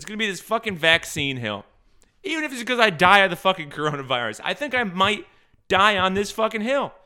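A man with a high pitch and a bright, sharp tone speaks in a raised, projected voice at a very fast pace, with very wide pitch swings and big swings in loudness, in a very clean recording with a silent background. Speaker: podcast host. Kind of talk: casual monologue. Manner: hitting K sounds hard.

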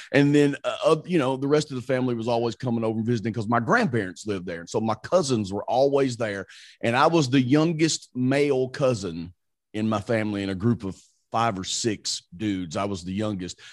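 With lively intonation, a man speaks at a fairly quick pace in a medium pitch. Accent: Southern US. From Mississippi, US South. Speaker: radio morning show host. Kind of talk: casual interview chat.

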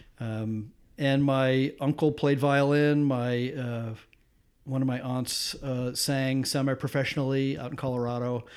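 In a very clean recording with a silent background, a man with an American accent and a normal speaking voice talks at medium pitch and a fairly slow pace. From US Midwest, suburban Detroit, Michigan. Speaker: photographer and former recording engineer. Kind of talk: casual interview conversation. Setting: recorded at his home.

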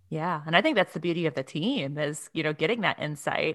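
A woman talks at a fairly quick pace with ordinary pitch variation. She has a normal speaking voice, and the recording is very clean with a silent background. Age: 30s. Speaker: podcast host. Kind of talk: casual interview; scripted intro.

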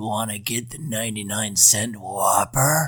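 A man's raspy, put-on character voice at a medium pitch. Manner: creepy.

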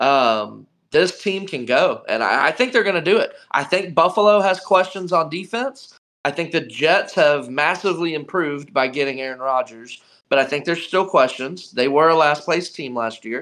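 A man with an American accent speaks at a moderate pace against a quiet background. His fairly high voice has a bright, sharp tone and lively intonation. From North Carolina (Charlotte). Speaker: sports podcast guest. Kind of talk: casual chat.

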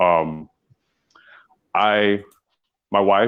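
At a very slow pace, a man speaks with a clear, smooth tone, fairly low pitch and fairly even intonation.

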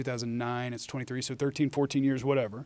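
This man talks at a very fast pace with an American accent. His medium pitch stays monotone, with flat intonation. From Dallas-Fort Worth, Texas (early childhood St. Louis). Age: 30s. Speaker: sports radio host. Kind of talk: casual chat.

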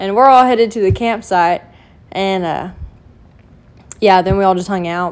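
With an American accent, a woman speaks at a moderate pace and a medium pitch, with ordinary pitch variation. She leaves long, frequent pauses. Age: 20s. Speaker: podcast co-host. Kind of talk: casual chat.

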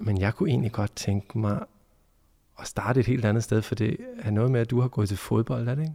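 Somewhat breathy with a dark, mellow tone, the voice moves at a fairly quick pace in a dry, close recording with no echo, very clean against a silent background. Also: man, medium pitch for a man, ordinary pitch variation. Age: 30s. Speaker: journalist and podcast host. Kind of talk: interview conversation. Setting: empty church.

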